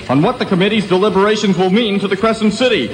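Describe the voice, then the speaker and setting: A man's voice over noticeable background noise. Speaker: radio news reporter. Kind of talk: radio newscast.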